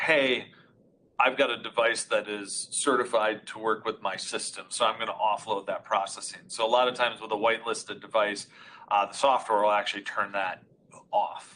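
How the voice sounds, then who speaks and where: A loud male voice, bright and sharp in tone, with ordinary pitch variation at a moderate pace. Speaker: audio conferencing expert. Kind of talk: technical webinar demonstration.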